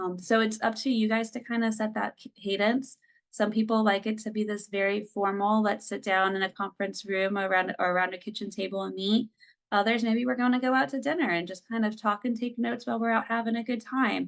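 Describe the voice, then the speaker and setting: Her speech is a normal speaking voice, fairly high-pitched and fairly quick, with fairly even intonation from this woman. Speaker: family services director presenting on microboards. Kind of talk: presentation.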